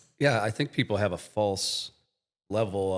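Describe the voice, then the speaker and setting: Here a man with an Ohio accent speaks at a fairly low pitch and a moderate pace. The recording is very clean, with a silent background. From Medina, Ohio. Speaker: IT company podcast co-host. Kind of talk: podcast conversation.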